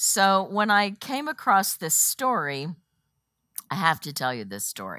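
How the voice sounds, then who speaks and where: In a very clean recording with a silent background and a dry, close sound with no echo, a woman speaks fairly slowly in a bright, sharp tone. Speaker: women's Bible study teacher. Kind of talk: Bible study lesson. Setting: room with live audience. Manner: casual, uses many fillers.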